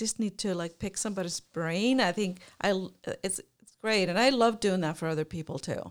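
Speaking fairly quickly with an Icelandic accent, a woman uses a medium pitch and ordinary pitch variation while her loudness swings widely. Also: very clean recording, silent background. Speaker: career counselor and podcast co-host. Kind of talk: casual chat.

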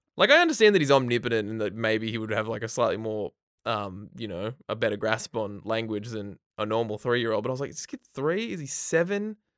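Hardly pausing at all, a man talks at a medium pitch with ordinary pitch variation. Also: fairly quick pace. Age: 30s. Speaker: comics podcast co-host. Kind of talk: casual chat. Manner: animated.

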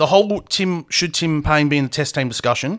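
On a very clean recording with a silent background, a man with an Australian accent speaks in a fairly high pitch. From Perth, Australia. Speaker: podcast host. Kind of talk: casual chat.

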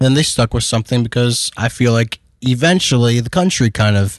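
In an American accent, a man with an ordinary speaking voice talks at a moderate pace and medium pitch with ordinary pitch variation. The background is quiet. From US Midwest, Detroit area. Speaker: podcast co-host. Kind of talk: casual chat.

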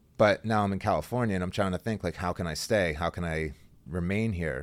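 On a very clean recording with a silent background, a man with a very deep, low pitch and an American accent talks fairly quickly with ordinary pitch variation. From Central Pennsylvania. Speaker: jiu-jitsu athlete. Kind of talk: interview.

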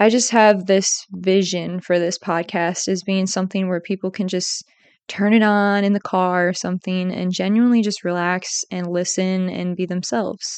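Over a quiet background, a woman with an American accent speaks at a moderate pace and medium pitch, her intonation monotone and flat, in a dry, close sound with no echo. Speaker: student podcaster. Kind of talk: casual monologue.

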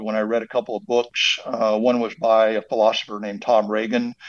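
A man with an American accent and a normal speaking voice talks at a moderate pace and medium pitch. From Texas. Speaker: trauma surgeon and animal rights activist. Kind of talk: interview.

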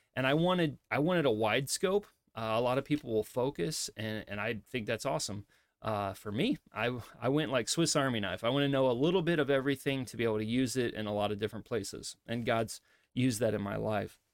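A man with a Midwestern accent and ordinary pitch variation, in a dry, close sound with no echo. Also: medium pitch for a man, very clean recording, silent background. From US Midwest. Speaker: pastor and podcast host. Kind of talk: solo podcast monologue. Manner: casual, with frequent fillers.

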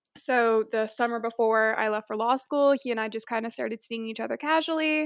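Speaking at a fairly quick pace with an American accent, a woman has an unremarkable speaking voice and a fairly high pitch. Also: very clean recording, silent background. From Florida (Tampa). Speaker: law student. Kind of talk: casual interview.

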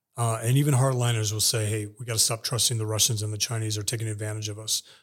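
On a very clean recording with a silent background, a man speaks in a somewhat breathy voice of medium pitch. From Texas, El Paso. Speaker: intelligence analyst and military veteran. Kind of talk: interview.

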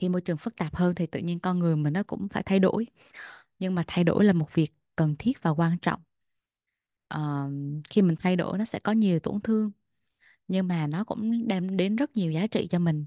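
This woman's voice sits fairly low and has a dark, mellow tone with ordinary pitch variation. She talks at a fairly quick pace in a dry, close sound with no echo. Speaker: podcast co-host. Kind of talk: casual chat.

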